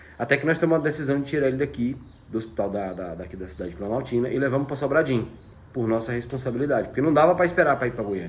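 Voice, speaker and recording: Talking very fast with lively intonation, a man with a fairly high voice shows vocal fry. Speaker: vlogger. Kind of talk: personal testimony.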